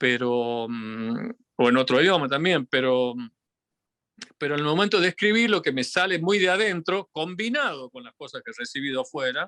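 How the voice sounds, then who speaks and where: A man's fairly high, bright, sharp voice at a moderate pace with very wide pitch swings, dry and close with no echo. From Argentina, Tucumán. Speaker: physicist and folk musician. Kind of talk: interview. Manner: halting, many fillers.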